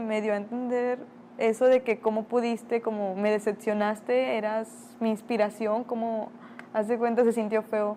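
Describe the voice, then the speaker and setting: A woman speaks at a moderate pace in a fairly high voice. Her tone is dark and mellow. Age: 20s. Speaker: interviewee. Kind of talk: testimony.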